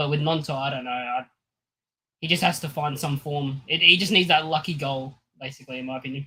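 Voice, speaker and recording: A man with an Australian accent talks at a very fast pace and a fairly high pitch, his tone bright and sharp and his intonation fairly even. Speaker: football fan panelist. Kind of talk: live stream panel chat.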